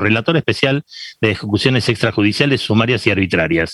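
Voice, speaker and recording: Delivered at a fairly quick pace in a Rioplatense accent, the voice has a dry, close sound with no echo. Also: man. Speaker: radio host. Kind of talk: interview.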